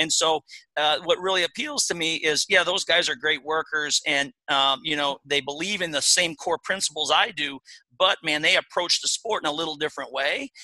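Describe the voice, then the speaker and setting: A man with a Midwestern US accent speaks at a fairly high pitch in a bright, sharp tone. His intonation stays fairly even, and the sound is dry and close with no echo. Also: moderate pace. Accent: US Midwest. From Iowa. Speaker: college wrestling coach. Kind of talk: interview.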